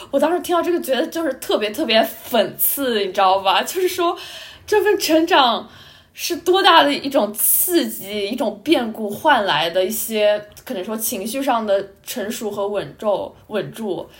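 A woman speaks at a fairly slow pace with a fairly high pitch and very wide pitch swings. Noticeable background noise runs underneath. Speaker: student podcast co-host. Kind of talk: casual chat.

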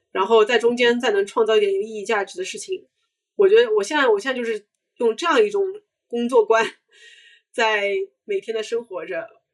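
A woman with a fairly high pitch talks at a fairly quick pace, using lively intonation and big swings in loudness. She leaves long, frequent pauses against a quiet background. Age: 30s. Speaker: brand marketer and startup founder. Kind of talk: casual interview chat.

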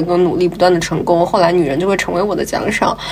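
Noticeable background noise behind a woman speaking at a fairly low pitch. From Jiangsu, China. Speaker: podcast co-host. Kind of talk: casual chat.

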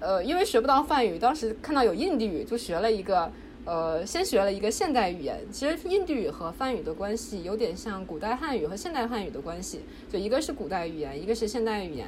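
With noticeable background noise and audible room echo, a woman speaks at a fairly quick pace, her fairly high pitch making very wide swings. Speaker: PhD student in religious studies. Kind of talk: casual interview.

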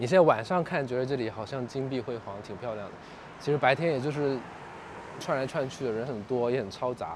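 At a fairly quick pace, a man talks in a normal speaking voice at a medium pitch with ordinary pitch variation. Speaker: pop culture media founder and podcaster. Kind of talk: casual chat. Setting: outdoors.

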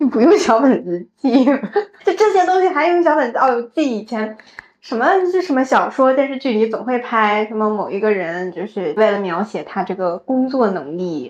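Her fairly high voice leaps through very wide pitch swings as this woman talks. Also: moderate pace. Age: 30s. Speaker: podcast co-host. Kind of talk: casual chat.

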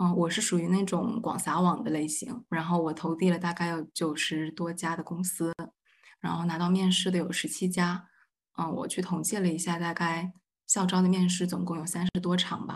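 In a quiet background, a woman with a fairly low pitch speaks at a moderate pace, somewhat breathy, her intonation monotone and flat. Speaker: graduate student. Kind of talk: roundtable discussion.

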